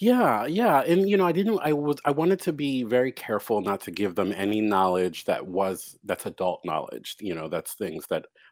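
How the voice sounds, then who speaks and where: A man speaks at a moderate pace with hardly any pauses. The recording is very clean, with a silent background. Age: 40s. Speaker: author. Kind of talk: interview. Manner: hesitant, many fillers.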